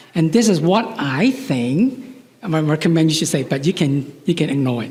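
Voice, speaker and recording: The voice moves in very wide pitch swings. Audible room echo and noticeable background noise surround it. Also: man, fairly high pitch for a man, moderate pace. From Chinese heritage. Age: 60s. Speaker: psychologist. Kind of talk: lecture. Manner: halting, with repetitions.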